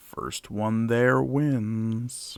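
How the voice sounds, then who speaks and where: Speaking at a medium pitch, a man performs a put-on character voice. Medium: actual play. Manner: slow, unhurried, smug.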